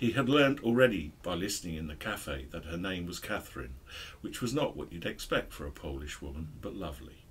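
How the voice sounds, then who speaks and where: A man's very deep, low voice with vocal fry, very wide pitch swings, big swings in loudness and a fairly quick pace. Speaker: book discussion host. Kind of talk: book review chat and reading aloud. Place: shop. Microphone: studio mic.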